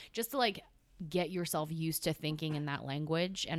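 The speaker talks at a fairly quick pace in an animated tone with vocal fry and an American accent. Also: woman. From California. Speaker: guest, part-time firefighter and perfume enthusiast. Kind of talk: casual chat. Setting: studio.

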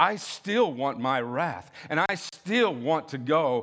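Heard in a very clean recording with a silent background, a man with a fairly high voice speaks in an animated, warm tone. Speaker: guest preacher. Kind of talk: sermon. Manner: animated, warm, call-and-response preaching with laughter and self-deprecating asides; urgent, exhorting, pleading tone in the altar-call style appeal.

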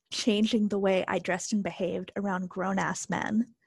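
The voice is somewhat breathy and moves at a fairly slow pace. The recording is very clean, with a silent background and a dry, close sound free of echo. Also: woman. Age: 20s. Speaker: interview guest sharing personal story. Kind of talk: interview.

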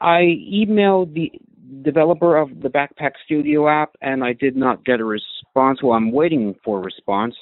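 With an American accent, a man speaks in a normal speaking voice at a fairly high pitch. His intonation is lively and his pace moderate. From United States. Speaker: listener sending a comment. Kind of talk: recorded voice message.

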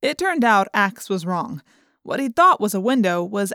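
The speaker has a natural reading voice. The background is quiet.

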